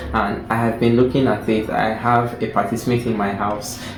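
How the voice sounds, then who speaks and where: Music plays in the background while a man speaks at a moderate pace. His pitch is medium, and the room echo is audible. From Nigeria. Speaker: book reviewer. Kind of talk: casual chat.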